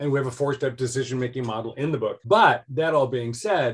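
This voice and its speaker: Somewhat breathy, a man's speech moves along fairly quickly. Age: 60s. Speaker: author and life design educator. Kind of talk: interview conversation.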